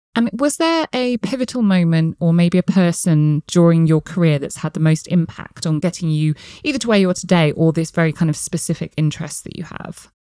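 Talking fairly quickly with hardly any pauses, a woman with a southern English accent uses a fairly low, dark and mellow voice with ordinary pitch variation, the sound dry and close with no echo. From England, Gloucestershire. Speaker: podcast host, company CEO. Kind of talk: interview.

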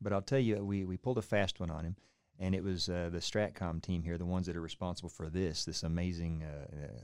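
With an Oklahoma accent, a man talks very fast in a very deep, low voice with ordinary pitch variation. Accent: Oklahoman. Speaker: law enforcement chief and podcast host. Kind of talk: casual interview.

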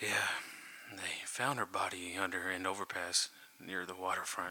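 Over light background noise, a man uses a put-on character voice that is shaky and very deep, with fairly even intonation and a moderate pace. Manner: shaken, upset.

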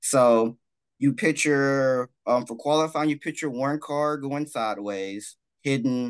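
Against a quiet background, a man with an American accent speaks at a fairly slow pace, his fairly high pitch moving with ordinary variation. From Texas, Dallas. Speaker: sim drifting tournament organizer. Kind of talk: interview. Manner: halting, many fillers. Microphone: good audio, fancy gear.

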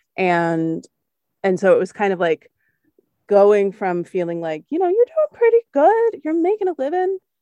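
A woman with an American accent talks at a moderate pace, recorded dry and close with no echo. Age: 30s. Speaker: podcast host, opera singer. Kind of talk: casual conversation interview.

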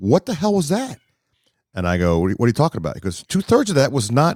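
This clip features a man talking. Recording quality is very clean, with a silent background. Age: 50s. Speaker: sportscaster. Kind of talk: casual chat. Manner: animated.

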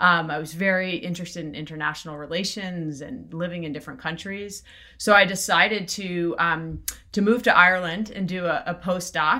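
Speaking at a fairly quick pace with an American accent, a woman has a fairly low voice with a bright, sharp tone, ordinary pitch variation and big swings in loudness. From South Florida. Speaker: venture capital investor. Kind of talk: interview.

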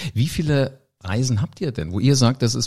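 A man's somewhat breathy voice, lively in intonation, at a fairly quick pace. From Hesse, Germany. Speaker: podcast host. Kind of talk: interview.

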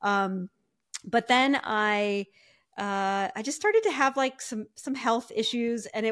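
Recorded very cleanly against a silent background, a woman with an American accent and an unremarkable speaking voice talks at a fairly slow pace, her fairly high pitch showing ordinary variation. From US Midwest, Ohio. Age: 50s. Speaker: podcast guest, fitness client. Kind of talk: casual interview chat.

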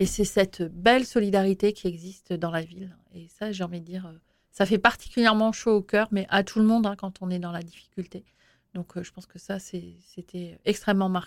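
A woman with an ordinary speaking voice, medium in pitch, at a moderate pace, with fairly even intonation and big swings in loudness. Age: 40s. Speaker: mayor. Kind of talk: interview.

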